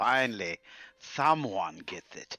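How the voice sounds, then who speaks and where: Using a put-on character voice, a man speaks at a medium pitch. The sound is dry and close with no echo. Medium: actual play.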